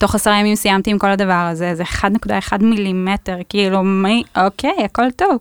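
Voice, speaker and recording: In an ordinary speaking voice, a woman talks at a moderate pace and medium pitch with fairly even intonation and very even loudness, in a dry, close sound with no echo. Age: 30s. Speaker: cancer survivor. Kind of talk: casual podcast interview. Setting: studio.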